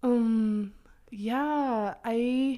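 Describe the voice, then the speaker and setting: With a dark, mellow tone and fairly even intonation, a woman speaks in a high pitch. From Oklahoma. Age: 20s. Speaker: photographer. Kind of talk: casual chat.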